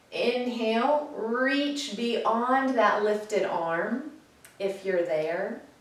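Her voice fairly high and her intonation lively, a woman speaks very slowly amid audible room echo. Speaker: yoga teacher. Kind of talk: guided chair yoga class with a calming meditation. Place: home room. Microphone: camera far.

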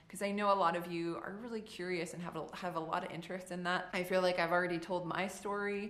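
A woman at a very fast pace with hardly any pauses, monotone, flat intonation and audible room echo. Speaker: Las Vegas showgirl. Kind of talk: casual talk to camera. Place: home room.

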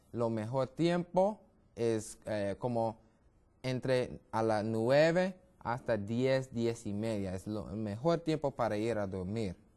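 A man talks at a very slow pace in a dark, mellow tone. His intonation is lively. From US, Brooklyn, New York; New York. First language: English (speaking Spanish). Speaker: medical missionary, health educator; health educator. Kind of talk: TV health interview. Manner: halting, many fillers and repetitions. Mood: friendly, smiling, explanatory. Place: studio. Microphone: lapel.

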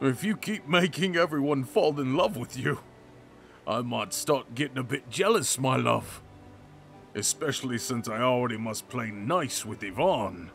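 A man speaks at a medium pitch and moderate pace, his intonation lively. Clear music plays in the background. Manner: anguished, desperate, defiant.

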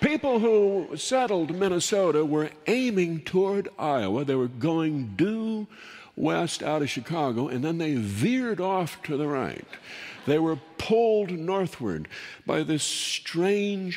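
A man speaks at a very slow pace with a high pitch. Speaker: storyteller host. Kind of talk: humorous storytelling monologue. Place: stage.

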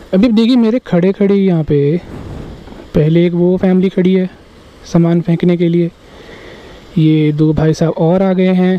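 A high-pitched man at a fairly slow pace, his intonation fairly even.

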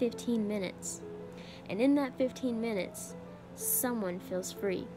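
A woman talks at a fairly slow pace. Music can be heard behind her. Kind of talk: spoken word poetry performance.

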